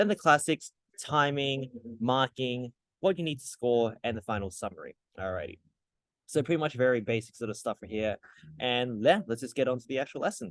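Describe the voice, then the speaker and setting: Speaking fairly quickly with an Australian accent, a man uses lively intonation, a medium pitch and big swings in loudness, in a dry, close sound with no echo against a quiet background. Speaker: tutor. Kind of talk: tutorial. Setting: hotel lobby. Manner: soft-spoken; casual.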